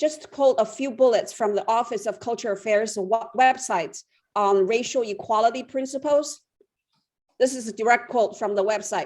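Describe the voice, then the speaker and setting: A woman with a Chinese accent, fairly high in pitch, with ordinary pitch variation and a moderate pace. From China. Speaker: public commenter. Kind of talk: public comment. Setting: phone call.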